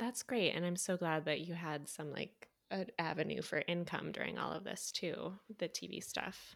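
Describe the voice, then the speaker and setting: The speaker has an American accent and vocal fry, talking at a moderate pace. The recording is very clean with a silent background. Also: woman, fairly low pitch for a woman, ordinary pitch variation. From US Midwest. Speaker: podcast host, actor. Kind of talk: interview.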